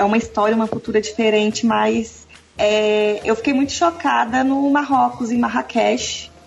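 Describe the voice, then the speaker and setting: Here a woman speaks at a moderate pace. Noticeable background noise can be heard. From Brazil, Brasília. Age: 30s. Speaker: physiotherapist and traveler. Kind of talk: casual chat.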